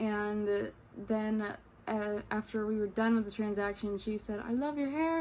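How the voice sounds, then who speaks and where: A woman with an American accent and a fairly high pitch. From New York state, US. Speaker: vlogger. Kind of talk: casual travel vlog storytelling. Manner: halting, many fillers.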